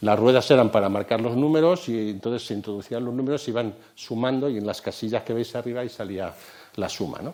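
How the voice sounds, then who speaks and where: Medium in pitch, a man talks at a very fast pace with ordinary pitch variation. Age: 60s. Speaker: computer science lecturer. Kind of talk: lecture.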